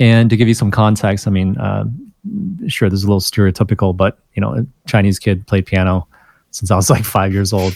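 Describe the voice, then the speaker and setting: Using an unremarkable speaking voice, a man talks at a fairly quick pace with a fairly low pitch and ordinary pitch variation. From southeast Michigan, US (moved from China at seven). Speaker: podcast founder and entrepreneur. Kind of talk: interview.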